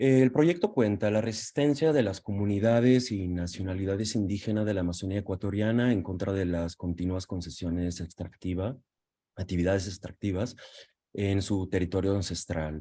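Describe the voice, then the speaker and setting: Talking at a very fast pace, a man has fairly low pitch and a dark, mellow tone. His pitch variation is ordinary. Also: quiet background. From Italy. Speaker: documentary photographer. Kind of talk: presentation in Spanish.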